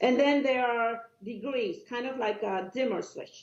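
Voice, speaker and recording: Someone speaks at a fairly slow pace with a Cuban accent. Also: woman. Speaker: doctor. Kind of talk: podcast interview. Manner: animated.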